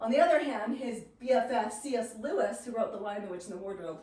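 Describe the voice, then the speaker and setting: Over noticeable background noise and audible room echo, a woman speaks at a fairly quick pace in an animated tone. Her pitch varies in an ordinary way. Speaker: literature teacher. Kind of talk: lecture. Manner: fast.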